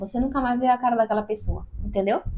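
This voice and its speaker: Her pitch fairly high, a woman speaks at a fairly quick pace. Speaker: YouTuber giving video tips. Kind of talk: tutorial. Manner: talkative, animated.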